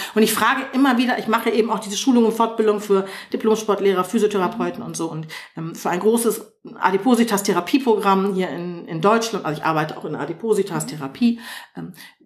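A woman talks at a very fast pace and a medium pitch, with ordinary pitch variation and big swings in loudness. Noticeable background noise sits behind her. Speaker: yoga teacher. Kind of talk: interview.

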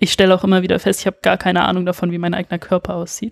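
Recorded with a dry, close sound and no echo, a woman talks at a medium pitch. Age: 20s. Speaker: illustrator and tattoo artist. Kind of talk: casual interview.

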